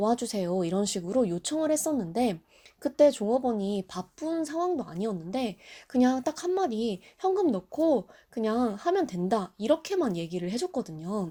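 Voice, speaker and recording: On a very clean recording with a silent background, a woman with a dark, mellow tone talks at a moderate pace, her fairly high pitch making very wide swings. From South Korea. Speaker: Japanese language tutor and YouTuber. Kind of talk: travel tips vlog with personal story.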